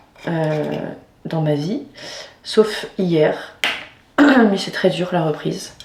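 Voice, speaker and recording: Audible room echo and noticeable background noise both come through in this recording. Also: woman. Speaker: vlogger. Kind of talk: personal vlog. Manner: halting.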